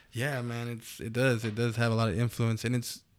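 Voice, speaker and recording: A moderate pace against a silent background, very clean recording. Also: man. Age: 30s. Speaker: audio and lighting technician. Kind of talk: casual chat. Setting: studio.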